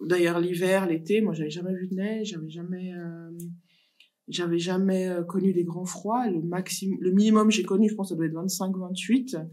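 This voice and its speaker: Fairly even intonation from a woman at a medium pitch, plus audible room echo. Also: moderate pace. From Africa. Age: 30s. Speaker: social worker, association founder. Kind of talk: casual interview.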